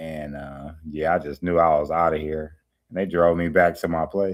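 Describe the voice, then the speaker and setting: A man's calm, very deep, low voice at a moderate pace, with fairly even intonation. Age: 40s. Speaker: YouTuber. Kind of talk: livestream chat; testimony.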